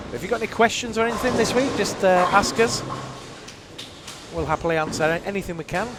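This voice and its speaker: A man with a northern English accent talks at a very fast pace in a high pitch with ordinary pitch variation, yet leaves long, frequent pauses. Noticeable background noise runs underneath. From northern England. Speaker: bowling stream commentator. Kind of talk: live commentary. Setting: live stream from bowling centre. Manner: casual, chatty.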